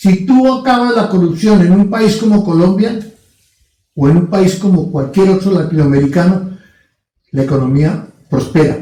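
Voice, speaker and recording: A man speaks at a moderate pace with a dark, mellow tone and a high pitch for a man, his loudness very even and his pitch varying in an ordinary way. He leaves long, frequent pauses, and audible room echo surrounds his voice. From Latin America. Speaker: podcast co-host. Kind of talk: casual discussion.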